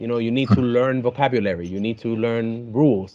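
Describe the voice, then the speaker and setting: This man speaks with a Spanish accent and ordinary pitch variation. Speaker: YouTuber, podcast guest. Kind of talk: casual chat. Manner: halting.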